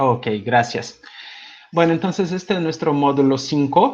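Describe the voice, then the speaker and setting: Lively intonation in a man's fairly high-pitched voice. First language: not Spanish (speaking Spanish). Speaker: music education lecturer. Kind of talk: online seminar lecture. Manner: hesitant with fillers.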